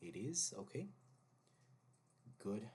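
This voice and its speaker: This man talks fairly slowly. He has a non-native accent. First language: not English. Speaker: gaming YouTuber. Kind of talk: casual gameplay commentary. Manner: thinking aloud, hesitant.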